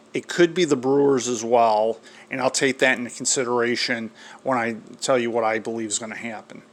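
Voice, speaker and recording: A man speaks fairly quickly, with background noise clearly audible behind him. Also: medium pitch for a man, fairly even intonation. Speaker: sports show host. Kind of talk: sports commentary monologue. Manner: may mispronounce words, less fluent.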